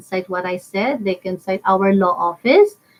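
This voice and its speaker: With a Filipino accent, a woman talks at a fairly slow pace. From Philippines. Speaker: lawyer. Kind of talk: legal discussion with co-host. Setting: live stream. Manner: code-switching English and Filipino.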